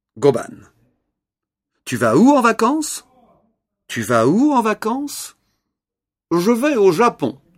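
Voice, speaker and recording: Delivery is very slow, with long, frequent pauses throughout. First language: Japanese (speaking French). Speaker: French teacher. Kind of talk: language lesson drill. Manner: animated.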